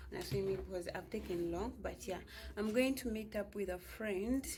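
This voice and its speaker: Behind the woman there is noticeable background noise. She keeps to a moderate pace. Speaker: vlogger. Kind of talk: casual vlog talk. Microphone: phone mic, new microphone bought.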